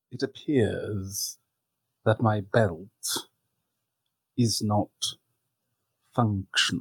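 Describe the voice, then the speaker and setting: In a put-on character voice, a man speaks very slowly at a fairly low pitch, with long, frequent pauses. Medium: actual play. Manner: formal, understated.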